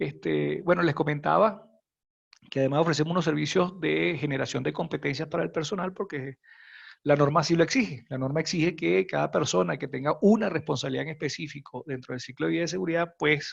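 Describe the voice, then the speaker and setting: Talking at a fairly quick pace, a man uses lively intonation with vocal fry. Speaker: functional safety consultant. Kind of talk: webinar presentation. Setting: online webinar. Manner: quiet.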